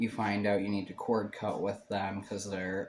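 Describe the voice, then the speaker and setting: A man's fairly low voice with monotone, flat intonation. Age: 20s. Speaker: tarot reader. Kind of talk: tarot reading. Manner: casual, hesitant with fillers.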